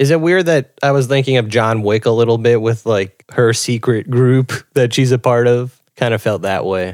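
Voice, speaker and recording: In an ordinary speaking voice of medium pitch, a man talks at a moderate pace with hardly any pauses, very even loudness and ordinary pitch variation. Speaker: podcast host. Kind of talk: casual chat.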